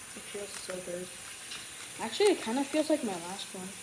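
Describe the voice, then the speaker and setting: At a moderate pace, a woman speaks with lively intonation and medium pitch over noticeable background noise. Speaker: YouTuber doing cube unboxing. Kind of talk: casual unboxing video. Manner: soft-spoken; halting.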